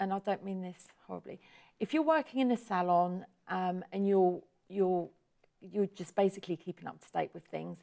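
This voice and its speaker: With an English accent, a woman talks at a medium pitch in a dark, mellow tone, with ordinary pitch variation, big swings in loudness, and a dry, close sound with no echo. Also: moderate pace. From southern England, Portsmouth. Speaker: hair salon owner. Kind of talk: interview.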